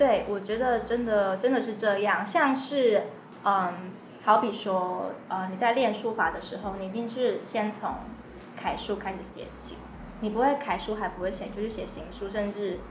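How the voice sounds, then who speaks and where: A woman with a Taiwanese accent speaks at a fairly high pitch with fairly even intonation. Audible room echo and noticeable background noise surround her voice. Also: moderate pace. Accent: Taiwanese Mandarin. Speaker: podcast host. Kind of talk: casual chat.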